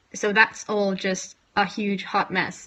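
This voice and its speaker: A woman's bright, sharp voice at a medium pitch. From Norway. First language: Norwegian. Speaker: language tutorial youtuber. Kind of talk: tutorial. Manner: casual, self-deprecating. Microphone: phone camera, poor audio quality.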